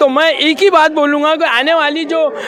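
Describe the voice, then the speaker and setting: A raised, projected voice is heard over noticeable background noise. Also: man. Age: 60s. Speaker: political party supporter. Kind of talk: street interview.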